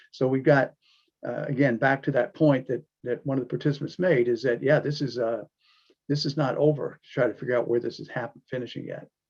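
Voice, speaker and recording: A man talks at a fairly quick pace, his medium-pitched voice somewhat breathy. His intonation stays fairly even while his loudness swings widely. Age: 70s. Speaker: discussion moderator. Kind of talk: online panel discussion. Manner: halting, many fillers.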